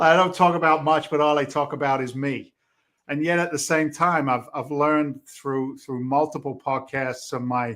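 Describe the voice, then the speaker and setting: In a Boston accent, a man with a fairly high pitch talks at a moderate pace with fairly even intonation. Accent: English with a Boston twang. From England, London. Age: 60s. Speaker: real estate investor and trainer, former firefighter. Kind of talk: podcast interview. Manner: casual, halting with repetitions.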